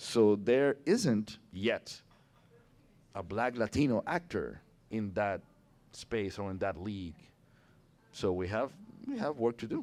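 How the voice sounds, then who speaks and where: Speaking with a Puerto Rican accent, a man of medium pitch talks at a very slow pace with long, frequent pauses and ordinary pitch variation. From Puerto Rico. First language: Spanish. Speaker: actor. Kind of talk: casual chat. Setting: public conversation in a brewery. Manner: animated.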